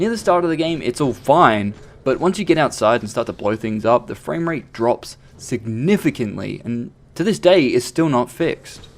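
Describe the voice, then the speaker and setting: At a moderate pace, a man with a medium-pitched voice speaks in very wide pitch swings. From Australia. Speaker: video game reviewer. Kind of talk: game review.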